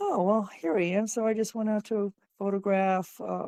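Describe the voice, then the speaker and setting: In a normal speaking voice, a woman talks at a moderate pace with ordinary pitch variation, in a dry, close sound with no echo. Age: 60s. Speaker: podcast guest interviewed about being over 60. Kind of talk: casual interview chat.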